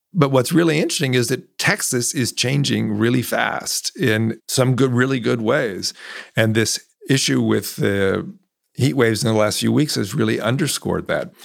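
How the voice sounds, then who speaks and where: A man with an American accent, lively intonation and vocal fry. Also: medium pitch for a man, moderate pace. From California. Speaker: climate journalist and author. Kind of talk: interview.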